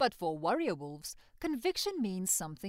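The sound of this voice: The speaker uses an unforced reading voice.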